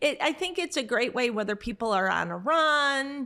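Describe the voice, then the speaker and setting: A woman's high-pitched, raised and projected voice at a moderate pace, with very wide pitch swings. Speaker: podcast host. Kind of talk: casual chat.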